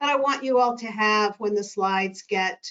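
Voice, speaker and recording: A woman with a plain, everyday voice. She speaks at a moderate pace with ordinary pitch variation. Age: 60s. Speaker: behavioral health consultant. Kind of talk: webinar presentation. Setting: online webinar.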